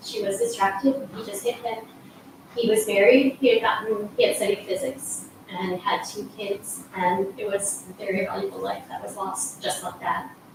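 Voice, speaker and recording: A woman with an American accent speaks at a moderate pace, her intonation fairly even and her loudness swinging widely. Noticeable background noise and audible room echo surround her. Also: medium pitch for a woman. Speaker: resident speaking at public comment. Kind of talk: public comment at council meeting. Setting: council meeting chamber. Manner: halting.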